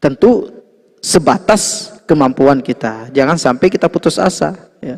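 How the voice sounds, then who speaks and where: A man with a plain, everyday voice, a fairly high pitch and a fairly slow pace. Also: lively intonation. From Lombok, Indonesia. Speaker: Islamic religious teacher. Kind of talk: religious lecture. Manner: conversational, frequent 'ya' fillers.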